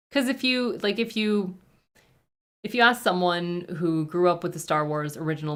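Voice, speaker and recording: A woman speaks with a Canadian accent. Her pace is moderate. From French Canada. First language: French. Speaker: reaction youtuber. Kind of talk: livestream Q&A. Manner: casual, hesitant with fillers.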